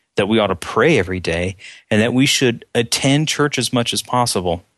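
Over a quiet background, a man talks at a fairly quick pace. His pitch sits in the medium range. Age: 30s. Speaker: church member, prayer partner. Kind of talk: casual chat.

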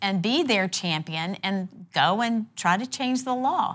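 A woman with an ordinary speaking voice talks at a fairly slow pace in a medium pitch, her intonation lively, on a very clean recording with a silent background. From South Carolina (Conway), born in North Carolina. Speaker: state legislator. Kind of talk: interview. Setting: in person across a table.

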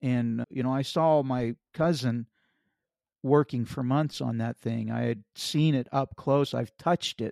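This man speaks at a fairly slow pace in an unremarkable speaking voice. The sound is dry and close with no echo, and the recording is very clean with a silent background. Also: medium pitch for a man, fairly even intonation. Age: 50s. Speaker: car accident survivor and author. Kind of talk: testimony.

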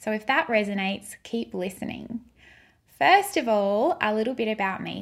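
With an Australian accent, a woman speaks at a moderate pace in a fairly high voice with lively intonation. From Queensland, Australia. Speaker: podcast host and brand stylist. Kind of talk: podcast monologue.

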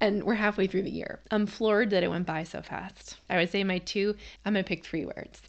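A woman with an American accent speaks fairly quickly in a plain, everyday voice at medium pitch, her intonation fairly even. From Massachusetts. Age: 40s. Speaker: homeschooling parent and podcast host. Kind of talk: personal storytelling monologue.

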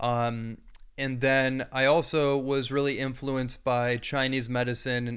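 His voice stays flat and monotone. The speaker is a man with a medium pitch. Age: 30s. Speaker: bodywork therapist and author. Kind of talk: interview.

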